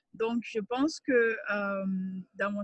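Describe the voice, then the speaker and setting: The voice has fairly even intonation and a dry, close sound with no echo. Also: woman. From Mali. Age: 20s. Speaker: writer and NGO communications officer. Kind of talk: interview conversation. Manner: hesitant, many fillers.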